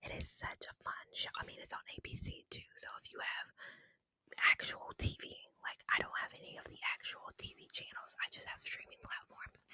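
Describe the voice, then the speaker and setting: Whispering at a moderate pace with big swings in loudness, the voice has a dry, close sound with no echo. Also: woman. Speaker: ASMR creator. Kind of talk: casual chatty talk to camera. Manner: whispered, close-mic.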